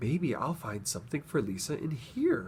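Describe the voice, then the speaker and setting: Over clear background noise, a man does a put-on character voice. It sits at a medium pitch and moves at a moderate pace. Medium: read story.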